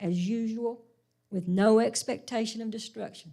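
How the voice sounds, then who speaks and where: This woman has an unremarkable speaking voice, fairly high in pitch, with ordinary pitch variation at a moderate pace. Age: 60s. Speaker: Sunday school teacher. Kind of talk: sermon-style Bible lesson.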